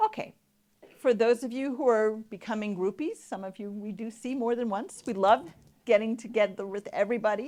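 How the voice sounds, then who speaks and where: The voice has a dark, mellow tone, with big swings in loudness and ordinary pitch variation. It moves at a fairly quick pace against a quiet background. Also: woman, fairly high pitch for a woman. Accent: American. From New York. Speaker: patient advocacy educator. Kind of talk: conference presentation. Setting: stage with audience.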